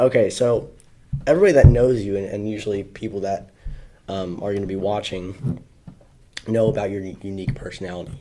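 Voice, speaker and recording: A man with a fairly low pitch and a dark, mellow tone talks with long, frequent pauses and big swings in loudness. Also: ordinary pitch variation, fairly quick pace. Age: young. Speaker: podcast host. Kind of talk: casual chat.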